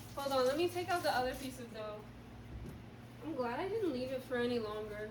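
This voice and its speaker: Woman with lively intonation at a moderate pace, long, frequent pauses, audible room echo and noticeable background noise. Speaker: vlogger. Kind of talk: casual vlog narration while baking. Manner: loud, yelling.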